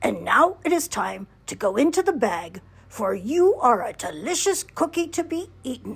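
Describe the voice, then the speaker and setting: A woman's high-pitched put-on character voice, with very wide pitch swings, at a moderate pace. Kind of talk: bedtime story. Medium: read story.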